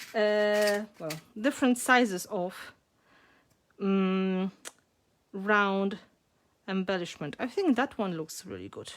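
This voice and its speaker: A woman with a Polish accent speaks very slowly at a medium pitch, with ordinary pitch variation, big swings in loudness and long, frequent pauses. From Poland. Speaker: mixed media artist. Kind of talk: live craft tutorial. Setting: home art studio, livestream.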